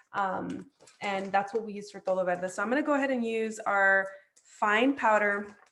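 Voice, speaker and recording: A woman speaks in a normal speaking voice at a fairly high pitch. Her intonation is fairly even and her pace moderate. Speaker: chef and cooking teacher. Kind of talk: online cooking class. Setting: video call.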